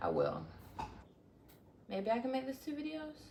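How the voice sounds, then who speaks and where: A woman's lively intonation comes through with audible room echo. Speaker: vlogger. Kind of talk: casual chat.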